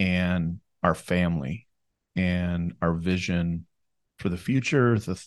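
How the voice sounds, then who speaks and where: A man with an Upper Midwest accent and a very deep, low pitch speaks at a very slow pace against a quiet background. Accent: Upper Midwest American. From southern Minnesota, US. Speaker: wealth planner. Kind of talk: casual interview. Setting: studio, seated next to host.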